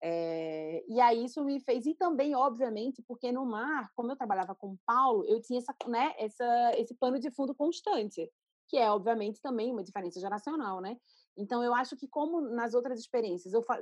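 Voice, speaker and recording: This woman speaks at a moderate pace in a high pitch, her intonation lively. Her voice sounds dry and close, with no echo. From Recife, northeastern Brazil. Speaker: art curator and critic. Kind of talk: interview. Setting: video call.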